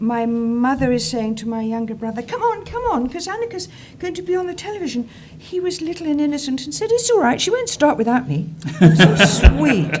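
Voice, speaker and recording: Over noticeable background noise and audible room echo, a woman speaks at a fairly high pitch with very wide pitch swings. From southern England. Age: 70s. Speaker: actress. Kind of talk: interview. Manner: animated.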